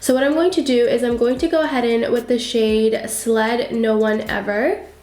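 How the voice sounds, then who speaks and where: At a moderate pace and very even loudness, a woman talks in a high voice over noticeable background noise and audible room echo. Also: ordinary pitch variation. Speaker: beauty YouTuber. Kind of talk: tutorial.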